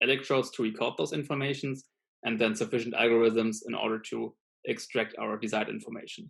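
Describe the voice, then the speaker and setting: The speaker is a man with a medium pitch. Nothing stirs in the quiet background. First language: not English. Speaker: student lecturer. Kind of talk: lecture. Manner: hesitant, many fillers.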